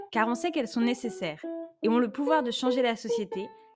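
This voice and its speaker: A woman talks at a very fast pace with a fairly high pitch. Music plays in the background. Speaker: podcast host. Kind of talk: podcast interview question.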